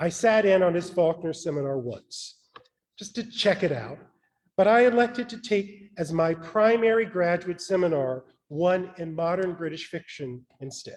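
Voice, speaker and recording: Speaking with an American accent, a man uses a high pitch, a moderate pace, lively intonation and big swings in loudness. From US South, rural Mississippi (Mount Olive, Piney Woods). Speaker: author. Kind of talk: keynote speech. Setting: stage with audience.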